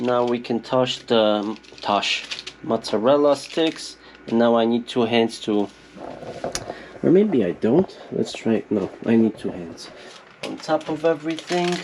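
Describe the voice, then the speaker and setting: Amid noticeable background noise, a man with a Polish accent speaks fairly slowly at medium pitch, using lively intonation and long, frequent pauses. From Poland. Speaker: YouTuber, off-grid homesteader. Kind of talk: casual vlog. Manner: chatty.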